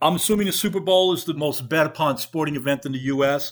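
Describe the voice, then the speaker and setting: A man's fairly quick, fairly high voice in a New York accent, with ordinary pitch variation, in a very clean recording with a silent background. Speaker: podcast host and reporter. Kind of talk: interview, host questions.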